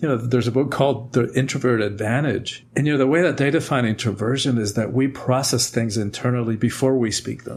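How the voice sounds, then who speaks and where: Somewhat breathy, a man talks at a fairly quick pace with hardly any pauses. His pitch is medium and his intonation fairly even. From Cuba. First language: Spanish. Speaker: author and speaker. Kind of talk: podcast interview.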